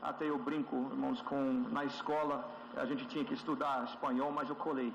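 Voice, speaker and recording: Amid noticeable background noise and audible room echo, a man with a Brazilian accent speaks at a moderate pace and fairly high pitch with ordinary pitch variation. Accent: sounds Brazilian when speaking Portuguese. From USA. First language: English (speaking Portuguese). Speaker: church elder. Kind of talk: testimony. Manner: halting, with frequent fillers.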